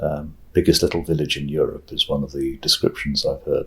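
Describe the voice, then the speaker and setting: A man with a British accent. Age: 60s. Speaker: retired international judge and law professor. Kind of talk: oral history interview. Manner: hesitant, with many fillers.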